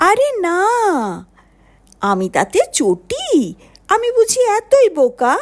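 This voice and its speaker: A put-on character voice drawls along at a very slow pace. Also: woman, extremely high pitch for a woman. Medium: read story. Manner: naive, blustering.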